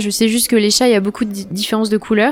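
Noticeable background noise is audible throughout. Over it, a woman talks. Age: 20s. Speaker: visual artist. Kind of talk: casual interview. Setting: studio set up as a bar.

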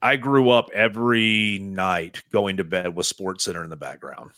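On a very clean recording with a silent background, a man with a Southern US accent speaks in a bright, sharp tone at a fairly low pitch with ordinary pitch variation. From East Tennessee. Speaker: sports radio host. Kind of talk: casual chat. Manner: animated.

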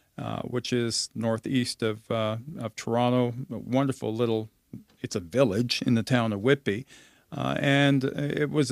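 An ordinary speaking voice: a man at medium pitch, moderate pace and fairly even intonation, in a dry, close sound with no echo. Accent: Canadian. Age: 50s. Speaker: communications professional, former radio reporter. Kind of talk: casual interview. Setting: home basement studio.

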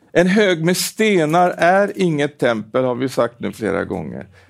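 A man's high-pitched voice at a very slow pace, on a very clean recording with a silent background. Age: 70s. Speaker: preacher. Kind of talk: sermon. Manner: halting with repetitions.

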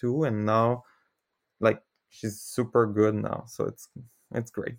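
A man's fairly slow, monotone delivery with flat intonation, in a Quebec French accent. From Quebec, Canada. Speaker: former theme park worker. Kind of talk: casual chat. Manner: halting.

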